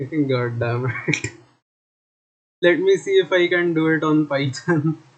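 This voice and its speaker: A man speaks with a fairly high pitch. His pace is very slow, and his pitch varies in an ordinary way. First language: not English. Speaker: streamer and game developer. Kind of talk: live stream coding session. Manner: halting.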